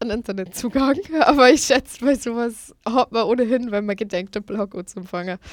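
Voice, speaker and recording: In an unremarkable speaking voice, a woman talks at a fairly high pitch with ordinary variation, keeping a moderate pace. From Lower Bavaria, Germany. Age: 20s. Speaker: food blogger and student. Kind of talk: radio interview. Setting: studio.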